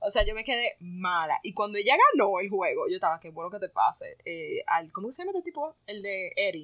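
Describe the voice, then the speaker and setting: Her fairly high voice moves at a fairly quick pace with lively intonation, recorded dry and close with no echo. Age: 20s. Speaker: podcast co-host. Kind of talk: casual chat.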